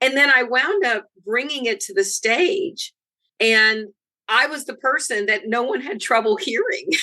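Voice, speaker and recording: A woman speaks at a fairly slow pace in a raised, projected voice with a bright, sharp tone. Her high pitch moves through very wide swings. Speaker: author and presence coach. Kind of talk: interview. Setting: podcast.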